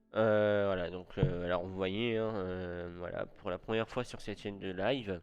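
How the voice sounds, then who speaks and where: Fairly slow, fairly even speech from a man with a fairly low pitch, over music in the background. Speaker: streamer. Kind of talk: live stream talk. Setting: live stream with webcam. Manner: soft-spoken; hesitant.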